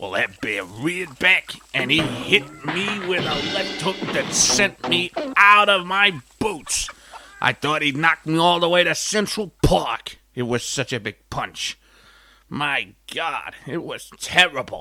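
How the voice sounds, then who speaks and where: A put-on character voice moves at a fairly slow pace with lively intonation. Music plays in the background. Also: man, high pitch for a man. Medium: comedy sketch. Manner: rambling, folksy.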